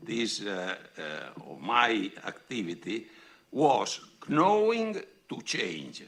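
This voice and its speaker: A medium-pitched man with an Italian accent, very slow, with very wide pitch swings and vocal fry. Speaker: foundation president and professor. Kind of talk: reading a prepared speech. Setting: podium at public event. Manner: halting.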